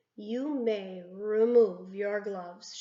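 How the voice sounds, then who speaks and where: Putting on a robotic character voice, a woman speaks at medium pitch. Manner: shouting, commanding.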